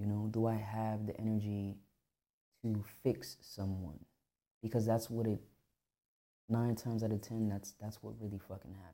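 The tone is dark and mellow, with fairly even intonation. The pace is moderate, broken by long, frequent pauses. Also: man, fairly low pitch for a man. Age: 30s. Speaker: podcast host. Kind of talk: casual monologue.

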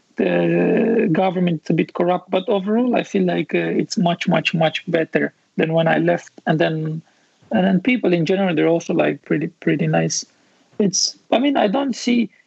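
Talking with a Romanian accent, a man keeps a high pitch, ordinary pitch variation, a moderate pace, and very even loudness. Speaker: architect and visualization studio founder. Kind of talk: casual interview chat.

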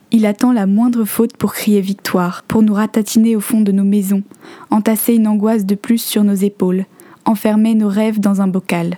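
A woman speaks at a moderate pace and medium pitch in a flat monotone, her loudness very even, the sound dry and close with no echo but with noticeable background noise. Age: 20s. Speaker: podcaster. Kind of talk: reading aloud; scripted narration.

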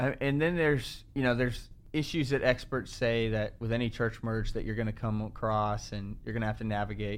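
With a normal speaking voice, a man talks at a fairly quick pace, his pitch medium and his intonation fairly even. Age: 20s. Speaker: church pastor. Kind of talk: casual chat.

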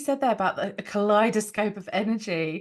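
A woman speaks in an unremarkable speaking voice, pitched fairly high. She talks at a moderate pace over a quiet background. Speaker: breathwork practitioner. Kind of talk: casual interview chat.

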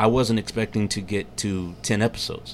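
Speaking at a fairly quick pace, a man with an American accent has a fairly low pitch and a plain, everyday voice. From Texas, Katy area. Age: 40s. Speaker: podcaster and military veteran. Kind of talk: casual chat. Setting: studio.

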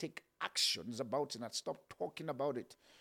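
This voice belongs to a man. He speaks with ordinary pitch variation. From Nigeria (Kaduna and Ibadan army barracks). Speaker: motivational podcast host. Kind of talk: motivational talk. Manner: halting, with frequent fillers.

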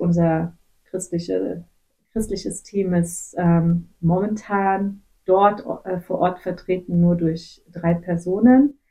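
At a very slow pace, a woman speaks at a medium pitch with fairly even intonation. Her tone is dark, mellow and somewhat breathy. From western Germany (Gummersbach). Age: 30s. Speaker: missionary, nurse. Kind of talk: interview, personal testimony. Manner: hesitant, many filler sounds.

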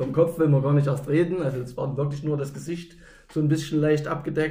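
A man speaks in a flat monotone with a dark, mellow tone and fairly high pitch. The room echo is audible. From East Germany, Gera (Thuringia). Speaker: roller hockey club official and former player. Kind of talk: casual interview.

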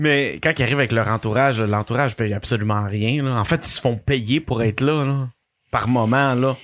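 The voice keeps a moderate pace, very even loudness and ordinary pitch variation in a very clean recording with a silent background. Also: man, medium pitch for a man. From Quebec City. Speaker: podcast co-host. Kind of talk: casual chat.

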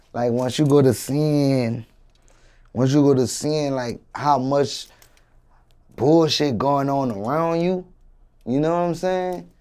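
On a very clean recording with a silent background, a man with a fairly high pitch and a dark, mellow tone speaks at a very slow pace, showing ordinary pitch variation and long, frequent pauses. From New Orleans, Louisiana. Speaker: rapper. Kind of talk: interview. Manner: halting, many fillers.

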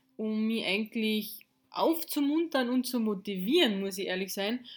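With ordinary pitch variation, a woman speaks at a moderate pace in a fairly high pitch.

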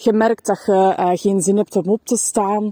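Very slow and dark, mellow in tone, a woman's medium-pitched voice carries a Flemish accent in a dry, close sound with no echo. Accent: Flemish Dutch. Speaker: podcaster and self-employed business coach. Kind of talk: personal testimony. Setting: walking outdoors in a forest. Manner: hesitant, many filler sounds.

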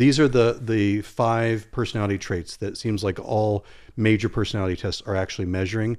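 Here is a man with an ordinary speaking voice and fairly low pitch. He talks at a fairly quick pace with fairly even intonation. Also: very clean recording, silent background. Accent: American. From Virginia, Norfolk area. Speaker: psychologist. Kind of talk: casual chat.

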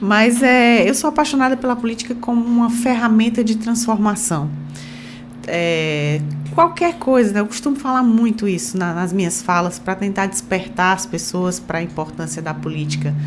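With audible room echo and noticeable background noise, a woman speaks at a moderate pace with lively intonation. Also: medium pitch for a woman. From Ceará, Brazil (Sobral). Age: 50s. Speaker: state legislator and physician. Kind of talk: radio interview.

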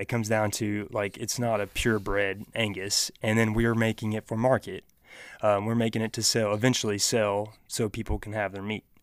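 A man with a normal speaking voice and fairly low pitch at a moderate pace, in a very clean recording with a silent background. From Oklahoma. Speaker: rancher and social media creator. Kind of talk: casual interview chat. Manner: relaxed, friendly, explanatory.

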